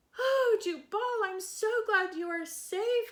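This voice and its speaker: Putting on a squeaky character voice, a woman speaks at an extremely high pitch. She goes at a fairly slow pace. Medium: read story.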